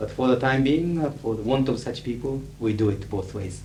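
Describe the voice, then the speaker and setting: Over music in the background, a man's moderately paced speech comes with audible room echo. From Japan. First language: Japanese. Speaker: conference interpreter. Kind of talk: lecture Q&A. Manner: articulate, neutral professional English.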